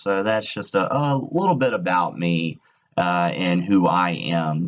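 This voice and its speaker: A man's very deep, low voice with lively intonation. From rural Virginia, Halifax County. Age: 30s. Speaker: graduate student presenter. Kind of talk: student presentation. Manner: casual, with some stumbles.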